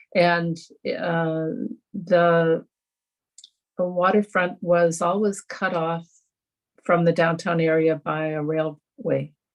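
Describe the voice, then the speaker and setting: A woman's fairly low, monotone, flat voice at a very slow pace, broken by long, frequent pauses. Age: 70s. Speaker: environmental volunteer organizer. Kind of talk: panel discussion. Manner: halting, many fillers.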